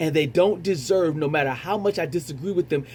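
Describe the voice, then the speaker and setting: Vocal fry marks this man's dark, mellow tone, set at a fairly high pitch. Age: 40s. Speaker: retired military veteran, show host. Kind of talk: monologue commentary. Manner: halting, many repetitions and fillers.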